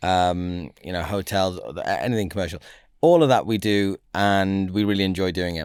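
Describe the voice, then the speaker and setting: A man with a northern English accent speaks at a moderate pace in a very deep, low voice with ordinary pitch variation, on a very clean recording with a silent background. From northern England. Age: 40s. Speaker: finance broker, business founder. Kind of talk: podcast interview.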